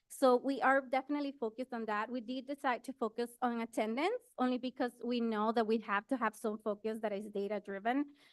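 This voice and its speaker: Recorded dry and close with no echo, a woman with an unremarkable speaking voice and fairly high pitch talks at a fairly quick pace with hardly any pauses and fairly even intonation. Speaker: school principal. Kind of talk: presentation.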